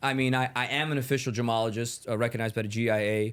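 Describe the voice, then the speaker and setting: A man with a New York accent, animated in tone, at a moderate pace. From New York, Bronx. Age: 20s. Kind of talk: casual chat.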